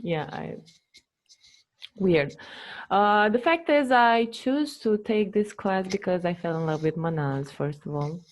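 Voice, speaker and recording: In a very clean recording with a silent background, a woman with a non-native accent talks at a fairly slow pace, her medium pitch moving in very wide swings. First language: not English. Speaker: former coaching student. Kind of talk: testimony. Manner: halting.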